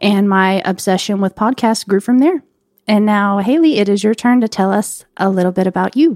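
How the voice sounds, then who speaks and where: With an ordinary speaking voice, a woman talks at medium pitch and a moderate pace, with ordinary pitch variation and very even loudness, in a dry, close sound with no echo. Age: 20s. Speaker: podcast co-host, hairstylist. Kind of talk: casual podcast introduction.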